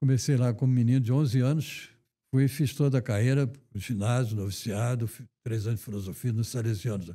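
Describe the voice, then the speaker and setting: A man speaks at medium pitch in a dark, mellow tone that is somewhat breathy. Long, frequent pauses break up his speech on a very clean recording with a silent background. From Rio de Janeiro, Brazil. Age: 90s. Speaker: retired banker and finance association president. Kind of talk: interview.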